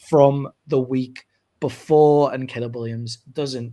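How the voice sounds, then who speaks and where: In a British accent, a man speaks at medium pitch with monotone, flat intonation. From Britain. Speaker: sports podcast host. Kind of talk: casual chat.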